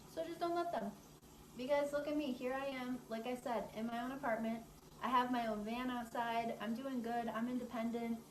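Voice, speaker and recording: The speaker has an American accent and fairly even intonation. Audible room echo and noticeable background noise are present. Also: woman, high pitch for a woman, moderate pace. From New York State. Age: 20s. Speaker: social media influencer. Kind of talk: personal testimony. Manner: casual.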